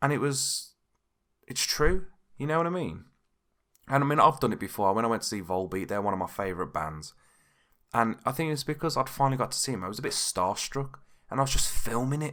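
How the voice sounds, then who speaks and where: A man speaks very fast with a bright, sharp tone, a British accent and lively intonation. He leaves long, frequent pauses, and the very clean recording has a silent background. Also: medium pitch for a man. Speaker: podcast host. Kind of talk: casual podcast talk. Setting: home recording without pop filter.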